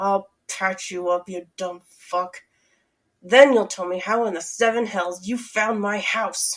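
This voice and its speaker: In a put-on character voice, a woman hisses with an angry tone. She talks at a fairly slow pace at a medium pitch. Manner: hissed through clenched teeth, angry.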